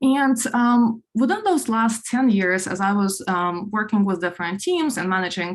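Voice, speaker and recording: Speaking at a moderate pace with hardly any pauses, a woman with a Ukrainian accent uses a fairly high, somewhat breathy voice and lively intonation on a very clean recording with a silent background. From Ukraine. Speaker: product executive, conference speaker. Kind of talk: conference talk. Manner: many filler words, halting.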